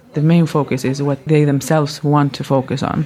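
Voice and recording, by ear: A woman's low-pitched voice, slightly mellow in tone, at a moderate pace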